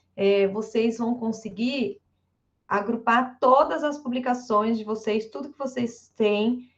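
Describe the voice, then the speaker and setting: A woman speaks in a normal speaking voice with a fairly high pitch. Her intonation stays fairly even. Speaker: math professor and researcher. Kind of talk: online lecture.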